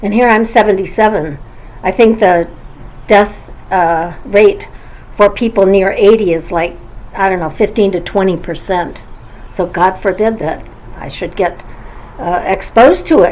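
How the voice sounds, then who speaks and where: Noticeable background noise accompanies a woman with an American accent speaking at a medium pitch. Her pace is fairly slow, with long, frequent pauses and ordinary pitch variation. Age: 70s. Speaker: YouTuber. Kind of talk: vlog monologue. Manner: halting, many fillers.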